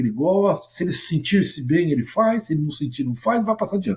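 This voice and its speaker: Animated in tone, a man talks at a fairly quick pace with very wide pitch swings. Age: 60s. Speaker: sales mentor. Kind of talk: podcast interview.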